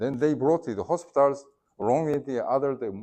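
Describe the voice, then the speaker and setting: At a fairly quick pace, a man talks in a medium pitch with vocal fry. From South Korea. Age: 60s. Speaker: former ambassador. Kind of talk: lecture. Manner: halting.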